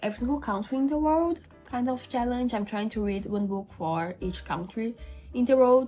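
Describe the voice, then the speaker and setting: A woman talks in a somewhat breathy voice with ordinary pitch variation. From Brazil. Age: 20s. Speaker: book YouTuber. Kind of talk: casual vlog talk to camera.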